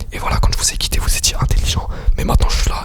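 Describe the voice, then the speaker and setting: Over music in the background, a man whispers at a very fast pace. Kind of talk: ASMR quiz video. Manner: whispered.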